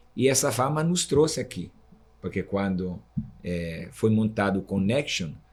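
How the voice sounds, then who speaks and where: With an Italian accent, a man with a fairly low voice speaks at a fairly slow pace, his intonation lively. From Italy. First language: Italian (speaking Portuguese). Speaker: guaraná producer, association vice-president. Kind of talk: interview podcast conversation.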